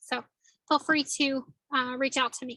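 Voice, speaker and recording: A woman uses a raised, projected voice with a bright, sharp tone, high pitch, and monotone, flat intonation. The sound is dry and close, with no echo. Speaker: presenter on a state savings program. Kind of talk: webinar presentation. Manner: fast.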